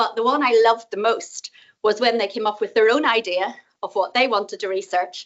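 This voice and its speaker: A woman speaks with a Northern Irish accent. Her pitch is fairly high and her pace fairly quick. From Northern Ireland. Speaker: professor. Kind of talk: conference talk. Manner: fast.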